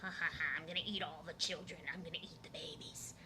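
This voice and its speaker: A put-on character voice races along at a very fast pace. Background noise is clearly audible. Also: female-sounding voice, fairly low pitch for a woman. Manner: cackling, menacing.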